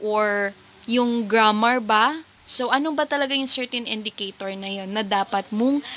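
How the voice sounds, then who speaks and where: A woman with a Filipino accent talks at a moderate pace, her fairly high pitch showing ordinary variation and a bright, sharp tone. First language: Tagalog. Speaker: teacher. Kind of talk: lecture. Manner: code-switching Tagalog and English.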